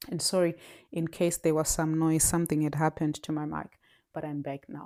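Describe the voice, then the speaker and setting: A woman speaks with a non-native accent. Her tone is dark and mellow. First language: not English. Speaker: podcast host. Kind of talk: solo podcast monologue. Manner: halting, many repetitions.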